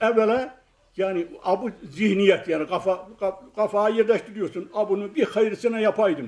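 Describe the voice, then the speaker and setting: Here a man talks with a high pitch. He keeps a moderate pace and ordinary pitch variation. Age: 70s. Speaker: watch repairer. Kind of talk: interview answer.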